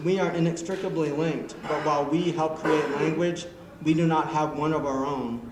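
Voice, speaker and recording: A man at a fairly high pitch and moderate pace, with ordinary pitch variation and noticeable background noise. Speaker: poet. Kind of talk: poetry reading. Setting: live open-mic event.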